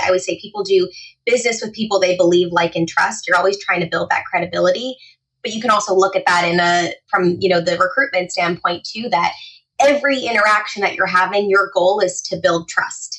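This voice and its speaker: A plain, everyday voice from a woman, medium in pitch, fairly quick in pace, with fairly even intonation. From New Jersey. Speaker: etiquette trainer. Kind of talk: podcast interview.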